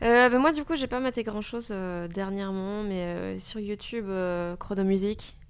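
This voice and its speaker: A woman speaks with a normal speaking voice at medium pitch and a moderate pace. Her pitch variation is ordinary, and the recording is very clean with a silent background. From Belgium. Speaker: stand-up comedian and radio humorist. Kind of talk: casual chat.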